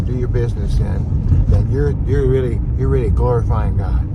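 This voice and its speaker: Audible room echo and noticeable background noise. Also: man. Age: 60s. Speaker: vlogger. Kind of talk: casual monologue. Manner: animated.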